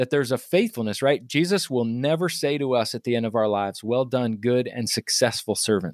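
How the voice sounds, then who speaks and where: A man's plain, everyday voice with an American accent, medium pitch, ordinary pitch variation, and a fairly quick pace, dry and close with no echo on a very clean recording with a silent background. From US South, Virginia. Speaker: leadership coach and author. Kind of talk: interview.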